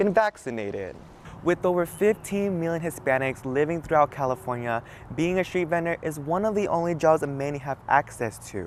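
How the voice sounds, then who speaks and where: Words come at a fairly quick pace from this man. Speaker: journalist. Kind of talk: news reporter standup.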